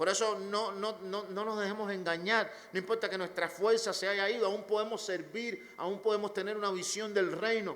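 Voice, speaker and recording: Monotone, flat delivery at a moderate pace with hardly any pauses. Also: man, high pitch for a man. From Cuba. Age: 40s. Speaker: pastor. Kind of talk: sermon.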